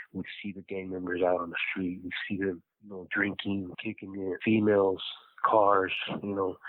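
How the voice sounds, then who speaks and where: An American accent marks this man's very deep, low voice. He talks at a moderate pace with monotone, flat intonation. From Los Angeles, California. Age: 30s. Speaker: incarcerated former gang member. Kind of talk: personal life story interview. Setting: prison phone call.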